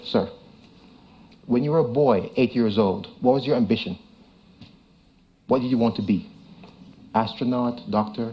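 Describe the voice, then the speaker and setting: A man talks at a medium pitch with a dark, mellow tone. His voice is somewhat breathy. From Jamaica. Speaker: tech entrepreneur. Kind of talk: conference presentation. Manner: fast.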